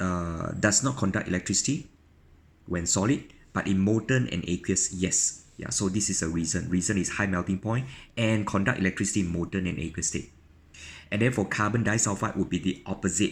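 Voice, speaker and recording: With a very clean recording and a silent background, a man with a very deep, low pitch speaks at a fairly quick pace with ordinary pitch variation. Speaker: chemistry teacher. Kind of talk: tutorial. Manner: fast; halting.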